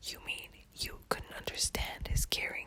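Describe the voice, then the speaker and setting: Whispering at a fairly slow pace, with noticeable background noise. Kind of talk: ASMR whisper poetry reading; narrated poem with dramatic dialogue. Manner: whispered.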